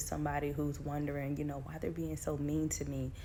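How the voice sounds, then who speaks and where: Audible room echo surrounds a woman as she talks. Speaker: faith coach. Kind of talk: inspirational talk.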